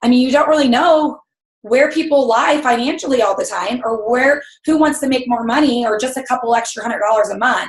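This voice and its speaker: Loud and high-pitched, a woman speaks at a fairly quick pace with ordinary pitch variation. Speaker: network marketing team leader. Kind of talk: motivational team call. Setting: video call.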